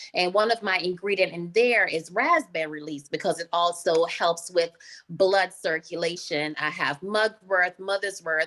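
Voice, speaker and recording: A woman with an American accent. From Jamaica. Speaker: skincare business founder. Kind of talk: interview.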